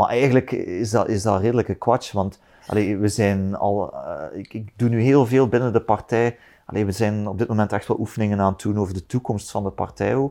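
With a dark, mellow tone, a man speaks at a fairly low pitch with fairly even intonation. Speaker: politician. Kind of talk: casual chat. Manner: halting.

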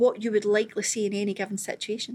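A woman talks with a Scottish accent. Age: 40s. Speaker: stand-up comedian. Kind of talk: casual chat. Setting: studio.

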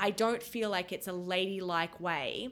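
A woman talks with an Australian accent. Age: 30s. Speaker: podcast co-host. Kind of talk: casual chat.

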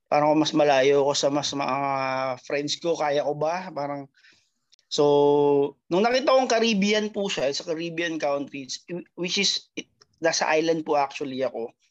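An ordinary speaking voice from a man, fairly high in pitch, at a fairly slow pace with ordinary pitch variation. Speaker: retail worker abroad. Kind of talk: testimony.

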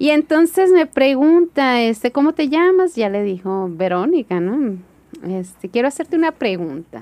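In a dry, close sound with no echo, a woman with a high pitch and a dark, mellow tone speaks at a fairly slow pace with very wide pitch swings. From Hermosillo, Sonora, Mexico. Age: 40s. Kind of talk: interview testimony.

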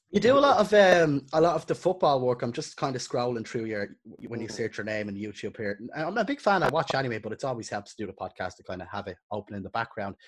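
Very fast and with very wide pitch swings, a man talks in an Irish accent. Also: medium pitch for a man, hardly any pauses. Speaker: podcast host and videographer. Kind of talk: casual chat.

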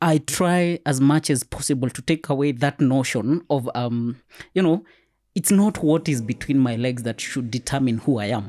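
Lively in intonation and fairly high in pitch, a man's unremarkable speaking voice runs at a moderate pace with a dry, close sound with no echo, in a very clean recording with a silent background. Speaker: intersex advocate guest. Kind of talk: casual interview chat.

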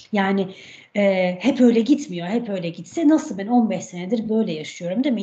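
A somewhat breathy voice with a dark, mellow tone moves at a moderate pace. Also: woman. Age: 40s. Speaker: health coach and cookbook author. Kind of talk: podcast interview.

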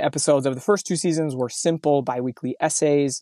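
In an unremarkable speaking voice, a man with an American accent talks at a fairly high pitch with ordinary pitch variation, the sound dry and close with no echo on a very clean recording with a silent background. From Mountain West US (southern Utah, eastern Idaho). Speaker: podcast host. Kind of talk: solo podcast monologue; casual interview chat.

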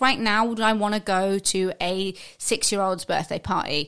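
A woman speaks in an English accent. The recording is very clean, with a silent background. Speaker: podcast co-host. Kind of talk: casual chat.

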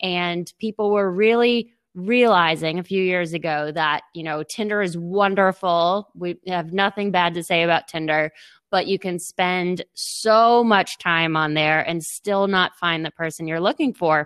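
An unremarkable speaking voice moves at a fairly slow pace with ordinary pitch variation. The sound is dry and close with no echo, over a quiet background. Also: woman, fairly low pitch for a woman, hardly any pauses. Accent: American. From Boston. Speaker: tech startup co-founder. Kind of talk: interview.

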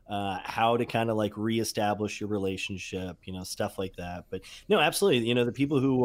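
Speaking at medium pitch, the man uses ordinary pitch variation. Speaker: guest on call. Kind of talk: casual chat. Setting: group call.

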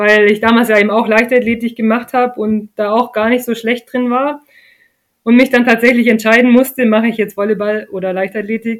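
A woman's fairly high voice, monotone and flat in intonation, at a moderate pace. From southern Germany, Lake Constance area. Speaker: retired professional beach volleyball player. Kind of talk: interview.

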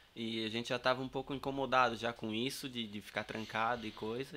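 A man's bright, sharp tone at a fairly quick pace, with fairly even intonation. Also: hardly any pauses. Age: 30s. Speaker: carpenter and campervan builder. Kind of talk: casual interview.

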